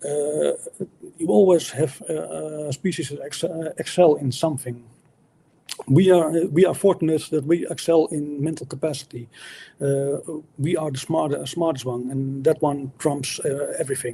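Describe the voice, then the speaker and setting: The voice is dark and mellow, somewhat breathy, with fairly even intonation at a moderate pace. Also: man, fairly high pitch for a man. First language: not English. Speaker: atheist debater. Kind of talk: debate. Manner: halting, many fillers and restarts.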